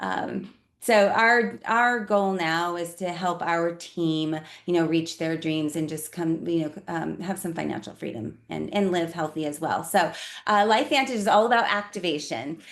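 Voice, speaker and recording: A woman with a General American accent and a normal speaking voice talks at a moderate pace, her fairly low pitch carried by lively intonation. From Colorado. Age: 50s. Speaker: network marketing presenter. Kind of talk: business presentation.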